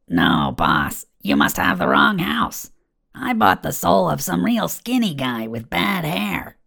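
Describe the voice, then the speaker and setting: A raspy, low-pitched put-on character voice at a fairly slow pace. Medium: read story. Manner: casual, breezy.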